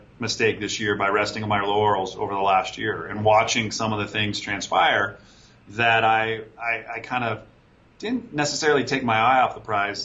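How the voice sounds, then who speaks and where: A man with a medium-pitched voice talks while noticeable noise fills the background. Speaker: entrepreneur, fulfillment company owner. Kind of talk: interview, casual business chat. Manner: halting, repeats words.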